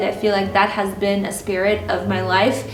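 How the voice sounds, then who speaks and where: Moderate pace, with music in the background and audible room echo. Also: woman. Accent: Russian. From Ukraine. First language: Russian. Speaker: lifestyle vlogger. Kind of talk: personal storytelling vlog. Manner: casual, many fillers.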